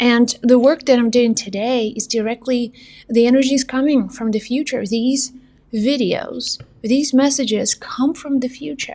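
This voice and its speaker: A woman's high voice with a dark, mellow tone, a non-native accent and fairly even intonation. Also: moderate pace. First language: not English. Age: 40s. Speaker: psychic medium and spiritual teacher. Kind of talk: spiritual motivational monologue.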